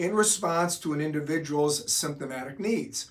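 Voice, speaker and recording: With a normal speaking voice, a man talks at a moderate pace in a fairly high pitch with ordinary pitch variation. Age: 60s. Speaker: doctor explaining hormone therapy. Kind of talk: explanatory talk to camera.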